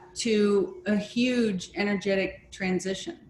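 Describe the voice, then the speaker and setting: Over noticeable background noise, a woman talks at a very slow pace. Her pitch is fairly high and her intonation lively. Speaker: crystal scryer leading an online session. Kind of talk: group discussion. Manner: gentle pace.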